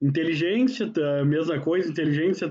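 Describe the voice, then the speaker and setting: A man speaking at a fairly quick pace. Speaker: university professor. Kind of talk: lecture. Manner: casual, conversational.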